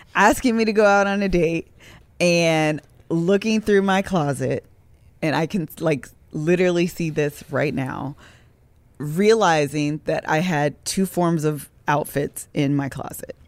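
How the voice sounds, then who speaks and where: With an American accent, a woman talks at a fairly slow pace in a fairly low pitch with ordinary pitch variation, a plain, everyday voice. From Ohio, US Midwest. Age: 30s. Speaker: podcast host. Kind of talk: casual chat.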